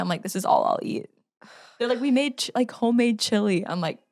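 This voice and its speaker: A woman talks with a Valley Girl accent and ordinary pitch variation. The recording is very clean, with a silent background. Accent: Valley Girl accent, by her own account. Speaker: podcast co-host. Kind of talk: casual chat.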